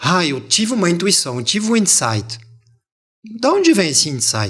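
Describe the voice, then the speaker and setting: A man's high voice swings very widely in pitch as he talks at a moderate pace. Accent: French. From France, Montpellier. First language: French (speaking Portuguese). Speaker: language teacher. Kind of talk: interview.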